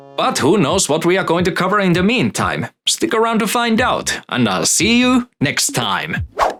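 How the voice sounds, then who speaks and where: Against music in the background, a man with a high pitch speaks at a moderate pace, his pitch swinging very widely while his loudness stays very even. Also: hardly any pauses. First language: not English. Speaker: gaming YouTuber. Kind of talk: scripted narration.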